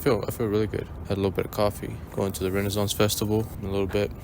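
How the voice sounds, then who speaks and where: Noticeable background noise runs under the recording. A man speaks in a fairly low pitch. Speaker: running vlogger. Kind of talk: casual vlog monologue. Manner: monotone; rambling, hesitant with fillers.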